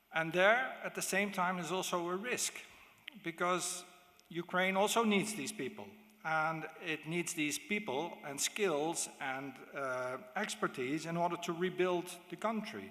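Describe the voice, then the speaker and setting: This man has a bright, sharp tone and a high pitch, with a Dutch accent. He speaks at a fairly slow pace. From Netherlands. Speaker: diplomat. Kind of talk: conference speech. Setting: stage with audience. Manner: halting.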